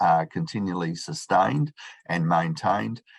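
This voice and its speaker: Over a quiet background, a man with a very deep, low pitch speaks with lively intonation. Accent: Australian. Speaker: professor, chartered accountant. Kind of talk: conference talk. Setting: video call. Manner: fast.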